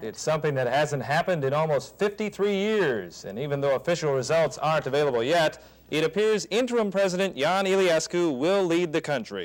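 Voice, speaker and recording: This man has an ordinary speaking voice with an American accent and a fairly high pitch. He talks at a fairly quick pace with lively intonation and hardly any pauses. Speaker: television news anchor. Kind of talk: television news anchor delivery.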